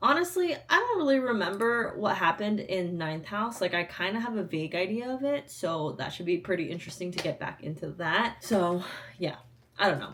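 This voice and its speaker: A woman at a medium pitch swings her voice very widely up and down over noticeable background noise. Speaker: book vlogger. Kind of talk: casual vlog talk. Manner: casual, filler-heavy.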